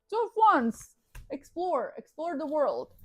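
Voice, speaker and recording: A woman talks at a moderate pace with very wide pitch swings. The sound is dry and close, with no echo. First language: not English. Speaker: tarot reader. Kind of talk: tarot reading. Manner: animated.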